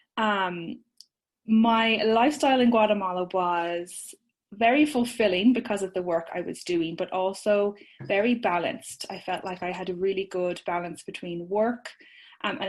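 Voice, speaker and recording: A woman with an Irish accent speaks at a moderate pace in a medium pitch, with ordinary pitch variation and a quiet background. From Ireland. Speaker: social media business owner, course creator. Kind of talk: podcast interview.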